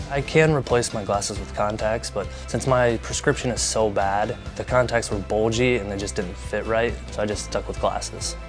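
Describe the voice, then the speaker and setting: Over music in the background, a man with a fairly low pitch speaks at a moderate pace with hardly any pauses and very wide pitch swings. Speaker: LASIK patient. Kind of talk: testimonial interview answer.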